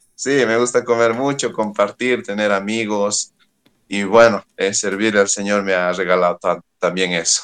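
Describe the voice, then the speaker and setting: Against a dry, close sound with no echo, a man with an unremarkable speaking voice talks fairly slowly at a fairly low pitch and fairly even intonation. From Bolivia, Oruro. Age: young. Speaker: youth pastor. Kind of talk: interview.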